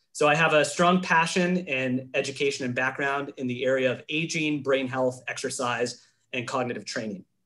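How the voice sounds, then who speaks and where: This man's medium-pitched voice has a bright, sharp tone, ordinary pitch variation, and hardly any pauses. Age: 20s. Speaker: exercise and brain health specialist. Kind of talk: webinar presentation. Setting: webinar. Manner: fast.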